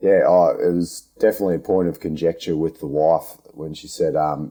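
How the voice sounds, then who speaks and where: In a strong Australian accent, a man speaks with a very deep, low pitch. His tone is dark and mellow. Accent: broad Australian. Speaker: podcast host, underground miner. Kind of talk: interview. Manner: casual, down-to-earth; halting, stammering.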